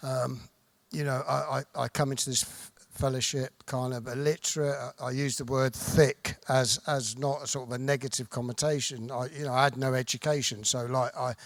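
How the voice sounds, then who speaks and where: A man with a southern English accent speaks at a medium pitch and moderate pace in a monotone, flat intonation. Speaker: recovering addict sharing at convention. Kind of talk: recovery testimony. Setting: stage with audience. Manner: soft-spoken; halting.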